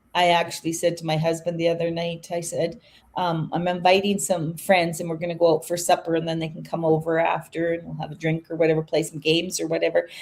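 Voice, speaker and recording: A woman's fairly low, monotone voice with flat intonation, a very fast pace and hardly any pauses. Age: 60s. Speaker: online business owner hosting a live chat. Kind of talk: casual chat.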